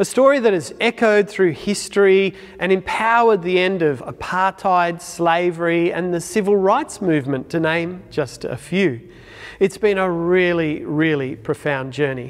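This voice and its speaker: Lively intonation marks a man speaking at a moderate pace. The background is quiet. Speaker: church minister. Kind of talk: sermon. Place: church. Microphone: lapel.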